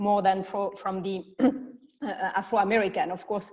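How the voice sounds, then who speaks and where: The speaker has a French accent. Intonation stays fairly even at a moderate pace. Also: woman. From France. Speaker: panel moderator. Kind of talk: panel discussion.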